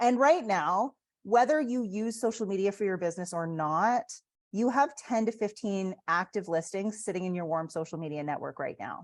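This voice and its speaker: In a Canadian accent, a woman speaks with a plain, everyday voice at medium pitch. Her intonation is lively and her pace moderate. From Canada. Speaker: real estate agent and coach. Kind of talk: online training presentation. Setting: video call.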